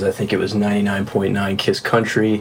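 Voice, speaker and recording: Noticeable background noise sits behind the speaker. He is a man with an American accent. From South Florida. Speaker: session drummer. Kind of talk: casual interview. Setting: studio.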